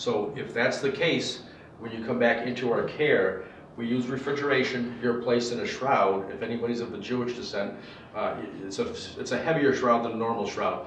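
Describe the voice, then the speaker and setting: With an American accent, a man at a medium pitch talks at a fairly quick pace with ordinary pitch variation, amid audible room echo and noticeable background noise. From western Massachusetts. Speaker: funeral director and embalmer. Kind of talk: presentation. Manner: fast.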